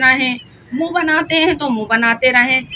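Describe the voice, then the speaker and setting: A raised, projected voice with ordinary pitch variation, over noticeable background noise. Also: woman. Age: 60s. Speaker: vlogger. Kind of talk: casual vlog monologue. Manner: animated; talkative.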